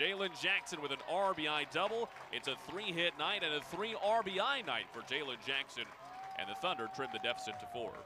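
A man's high-pitched voice with very wide pitch swings at a moderate pace, over noticeable background noise. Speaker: baseball radio announcer. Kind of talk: live baseball play-by-play commentary.

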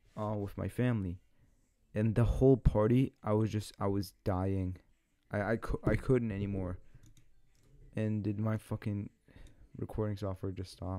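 Against a quiet background, a man with a dark, mellow tone and a fairly low pitch talks at a moderate pace in a monotone, flat voice, leaving long, frequent pauses. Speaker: vlogger. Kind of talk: casual vlog chat. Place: home room. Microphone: studio mic.

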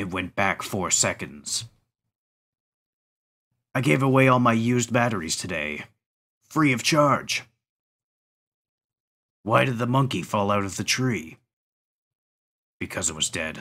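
A man puts on a cartoonish character voice at medium pitch with lively intonation. He keeps a moderate pace with long, frequent pauses.

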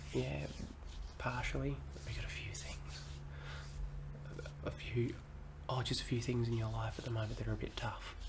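Soft-spoken, a man talks at a moderate pace in a calm, soothing tone. Noticeable background noise runs underneath. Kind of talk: soft calming role-play talk. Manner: soft, calm, soothing low voice. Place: home room. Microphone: phone near.

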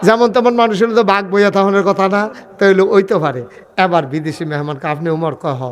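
Audible room echo surrounds a voice whose pitch varies in an ordinary way. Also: man, high pitch for a man. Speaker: Islamic preacher. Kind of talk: sermon. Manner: animated.

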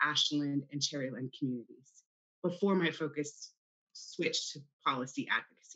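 Against a quiet background, a woman with an American accent speaks at a fairly quick pace in a very deep, low pitch, with ordinary pitch variation, big swings in loudness and long, frequent pauses. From California, Central Valley (Hanford); California. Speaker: school board candidate; candidate. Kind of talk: candidate forum statements and answers. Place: home room. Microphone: video call.

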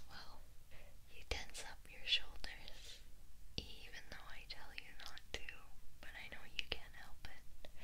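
Whispering at a very slow pace, with long, frequent pauses over light background noise. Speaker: ASMR roleplay voice actor. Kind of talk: roleplay monologue to listener. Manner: tender teasing whisper.

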